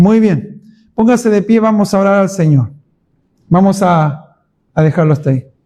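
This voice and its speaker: Speaking at a moderate pace with long, frequent pauses, a man with a high pitch and a dark, mellow tone keeps a very even loudness and ordinary pitch variation. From Chile. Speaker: pastor. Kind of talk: Bible study teaching. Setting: church.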